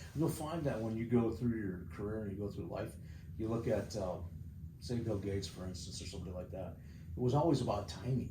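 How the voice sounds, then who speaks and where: With audible room echo, a man talks at a very fast pace in a fairly low pitch with lively intonation. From South Dakota, Sturgis. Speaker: mayoral candidate. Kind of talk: interview. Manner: blunt.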